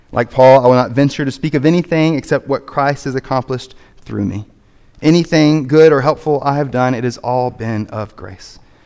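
The speaker uses a plain, everyday voice at a moderate pace with ordinary pitch variation. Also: man, medium pitch for a man. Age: 30s. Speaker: pastor. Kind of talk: sermon. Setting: church.

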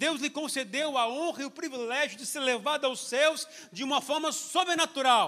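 Raised and projected, the voice carries a bright, sharp tone. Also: man, extremely high pitch for a man, ordinary pitch variation, moderate pace. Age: 50s. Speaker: pastor. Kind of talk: sermon. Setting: church.

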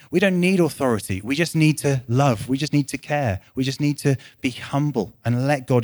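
A man with a West Midlands accent and lively intonation, in a very clean recording with a silent background. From West Midlands, England. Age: 30s. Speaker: church leader. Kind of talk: sermon. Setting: church. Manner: conversational with frequent fillers and restarts.

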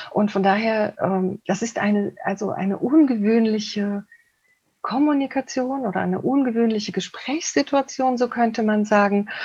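Speaking at a moderate pace, a woman with a fairly high pitch and a somewhat breathy voice shows ordinary pitch variation. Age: 50s. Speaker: couples therapist. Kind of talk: interview. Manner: halting.

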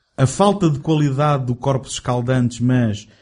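A man's somewhat breathy, dark, mellow voice at a medium pitch, with ordinary pitch variation and a moderate pace. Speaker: film podcast host. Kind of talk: casual chat.

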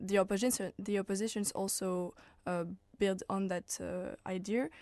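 Against a quiet background, a woman with a French accent speaks at a moderate pace and medium pitch, her dark, mellow tone carried by fairly even intonation. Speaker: political science student. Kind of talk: radio panel discussion.

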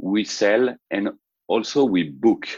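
A man speaks with a French accent. The sound is dry and close, with no echo. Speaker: startup founder. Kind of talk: interview. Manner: halting.

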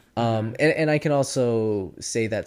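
With lively intonation, a man talks at medium pitch in a plain, everyday voice. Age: 30s. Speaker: podcast co-host. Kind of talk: casual chat.

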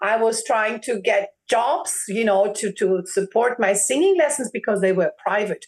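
The woman's pitch is fairly high. She speaks at a fairly slow pace. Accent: German. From Germany. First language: German. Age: 40s. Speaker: opera singer. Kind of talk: interview. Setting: video call. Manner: animated.

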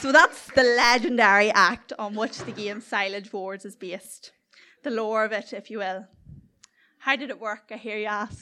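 A woman with a Northern Irish accent speaks at a moderate pace, her pitch fairly high with ordinary variation. Her loudness swings widely. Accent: South Armagh Northern Irish, noticeable. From South Armagh, Northern Ireland. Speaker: storyteller. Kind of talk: live storytelling, comedic anecdote. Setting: stage with audience.

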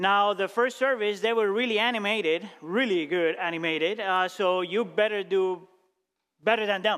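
Delivered at a moderate pace, the intonation stays fairly even. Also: man, high pitch for a man, very even loudness. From Colombia. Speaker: pastor. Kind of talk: sermon. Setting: church.

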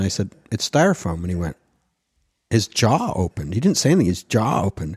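A man with a Canadian accent talks at a very fast pace, somewhat breathy, in a dry, close sound with no echo on a very clean recording with a silent background. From Canada, Ottawa (born Montreal, English-speaking). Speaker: theatre designer. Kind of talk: casual interview. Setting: at home. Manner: halting, many fillers and restarts.

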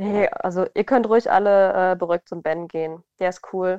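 The sound is dry and close, with no echo and a quiet background. A woman speaks at a medium pitch in a dark, mellow tone. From southern Hesse, Germany. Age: 20s. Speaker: model. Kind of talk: casual interview. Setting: remote call. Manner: animated, frequent laughter.

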